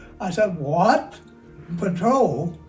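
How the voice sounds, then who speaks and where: A man speaks in an American accent. Noticeable background noise and audible room echo are present. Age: 90s. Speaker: war veteran. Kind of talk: interview. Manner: halting.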